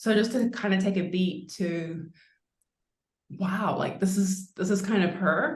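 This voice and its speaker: A woman talks at medium pitch with ordinary pitch variation and a slight New Zealand accent. Audible room echo surrounds her voice. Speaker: winemaker. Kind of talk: interview.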